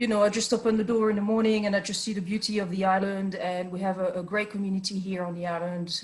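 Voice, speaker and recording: A woman's very fast speech at a medium pitch, with a French accent and monotone, flat intonation. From France. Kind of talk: interview. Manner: hesitant, many fillers.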